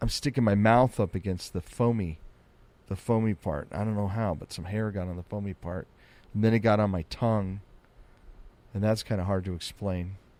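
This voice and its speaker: A man's fairly low, dark and mellow voice with an American accent, fairly even intonation, a moderate pace and long, frequent pauses. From US Southwest desert. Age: 50s. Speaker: comedian. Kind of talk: podcast monologue. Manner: casual rambling. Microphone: studio dynamic mic, mouth on foam.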